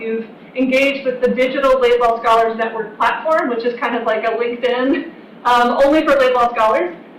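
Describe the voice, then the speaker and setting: A woman's high voice at a fairly quick pace, ordinary in pitch variation, with audible room echo and noticeable background noise. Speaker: university program director. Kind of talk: information session presentation. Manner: fast.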